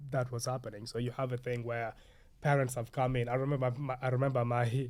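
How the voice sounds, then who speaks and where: This man talks at a very fast pace in a medium pitch, his intonation flat and monotone. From Uganda, moved to Sheffield at eleven. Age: 30s. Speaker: actor and playwright. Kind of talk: podcast interview.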